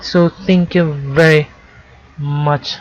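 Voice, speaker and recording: A woman with a non-native accent and a very deep, low pitch, amid noticeable background noise. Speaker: programming tutorial creator. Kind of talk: tutorial. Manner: halting, with self-corrections.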